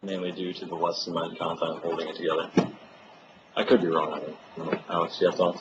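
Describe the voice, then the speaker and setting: A man talks at a fairly quick pace in a very deep, low, monotone voice with flat intonation. His loudness swings widely over noticeable background noise. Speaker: master's student presenting research. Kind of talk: seminar Q&A. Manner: fast.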